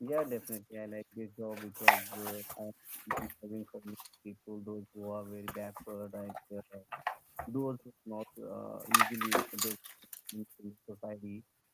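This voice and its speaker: In a dry, close sound with no echo, a soft-spoken, fairly low-pitched man speaks in a monotone, flat way with big swings in loudness. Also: moderate pace. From India, Karnataka. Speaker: public welfare officer. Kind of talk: language-practice conversation on video call. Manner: halting, many fillers.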